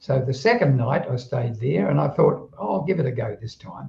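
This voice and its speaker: Somewhat breathy, a man speaks in a dark, mellow tone. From southeast London, England, then Australia from age 15. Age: 80s+. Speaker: retired telecommunications worker, automatic writer. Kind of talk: interview storytelling. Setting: live stream conversation.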